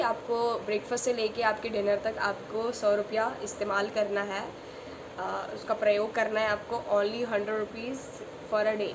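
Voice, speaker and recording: Over noticeable background noise and audible room echo, a woman speaks in a monotone, flat intonation. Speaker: vlogger. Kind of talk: casual vlog talk. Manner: code-switching Hindi-English with many fillers.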